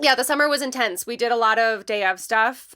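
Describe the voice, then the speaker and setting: The recording is very clean and the background silent. A woman talks in a bright, sharp tone. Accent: Michigan. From Michigan. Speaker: letterpress and design studio artist. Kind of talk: casual chat.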